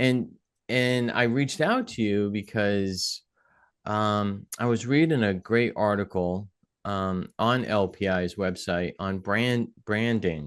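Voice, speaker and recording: A man speaks very slowly in a fairly low voice with a New England accent. The background is quiet. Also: ordinary pitch variation. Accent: New England, drops his G's. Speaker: podcast host. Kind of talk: podcast interview; scripted intro.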